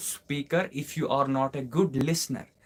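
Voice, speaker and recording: A man with a Kashmiri accent speaks at a moderate pace in a medium pitch with ordinary pitch variation. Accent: Kashmiri Indian English. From Kashmir, India. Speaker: English teacher. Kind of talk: live online class Q&A. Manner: repetitive, emphatic.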